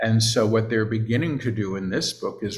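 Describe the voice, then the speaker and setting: Somewhat breathy speech from a man, his pitch fairly low. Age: 60s. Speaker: spiritual teacher and channeler. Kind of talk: casual chat.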